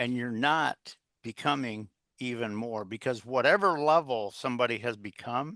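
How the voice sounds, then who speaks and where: With a bright, sharp tone and ordinary pitch variation, a man talks at a moderate pace and medium pitch in a dry, close sound with no echo and a quiet background. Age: 70s. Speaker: executive coach and author. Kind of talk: interview. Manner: halting, many fillers.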